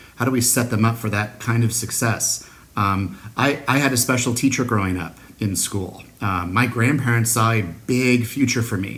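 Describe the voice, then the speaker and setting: The speech keeps a moderate pace and fairly even intonation, with audible room echo around it. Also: man. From US Pacific Northwest, Seattle. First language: Spanish. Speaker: school district superintendent. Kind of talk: recorded address to an award ceremony. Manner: frequent filler words (uh, um).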